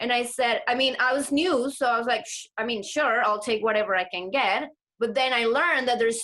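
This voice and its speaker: A woman talks at a fairly high pitch in a Spanish accent. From Latin America. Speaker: actor. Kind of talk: interview.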